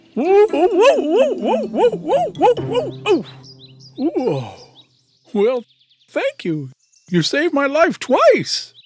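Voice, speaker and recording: A cartoonish character voice speaks at a high pitch and a very slow pace with long, frequent pauses, over faint music in the background. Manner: excitable, flustered.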